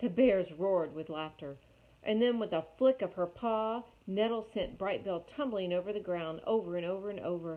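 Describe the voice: The speaker reads aloud plainly, with ordinary pitch variation.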